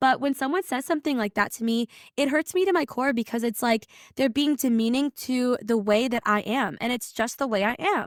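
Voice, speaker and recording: Loud and energetic, a woman speaks at a high pitch and a fairly quick pace with ordinary pitch variation. The recording is very clean and dry, close with no echo and a silent background. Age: 20s. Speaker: podcast host. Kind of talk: casual monologue.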